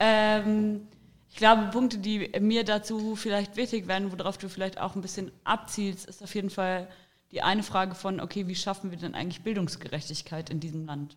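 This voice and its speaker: This woman has an unremarkable speaking voice at a medium pitch, moving at a moderate pace with ordinary pitch variation. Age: 20s. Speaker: political candidate. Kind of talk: interview.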